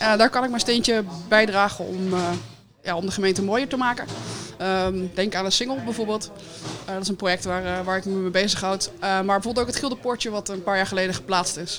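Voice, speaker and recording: Music plays behind a woman speaking at a fairly quick pace. Her voice sits at medium pitch with ordinary pitch variation. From Netherlands, Woerden. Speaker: municipal employee and heritage day organiser. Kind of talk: casual radio interview. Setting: live broadcast from a café.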